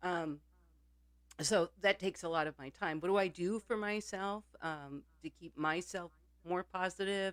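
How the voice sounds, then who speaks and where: A woman talks in an ordinary speaking voice at a fairly low pitch and a fairly slow pace. Her intonation is fairly even, and the sound is dry and close with no echo. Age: 60s. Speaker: podcast co-host. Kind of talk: casual chat.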